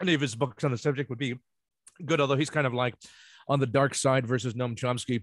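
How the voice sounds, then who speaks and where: Speech in an American accent comes at a very fast pace, broken by long, frequent pauses. The intonation is fairly even, and the recording is very clean with a silent background. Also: man, medium pitch for a man. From New Jersey (Ocean Township). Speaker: law student. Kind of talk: casual chat.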